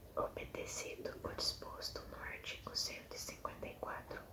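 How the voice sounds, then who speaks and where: A whispering voice moves at a very slow pace while noticeable background noise carries on. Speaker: ASMR creator. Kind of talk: ASMR reading aloud. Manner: whispered.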